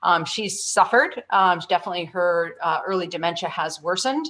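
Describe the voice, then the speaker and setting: A woman speaks fairly quickly in an unremarkable speaking voice. Her pitch is fairly low and her intonation fairly even. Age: 50s. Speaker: panellist. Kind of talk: panel discussion.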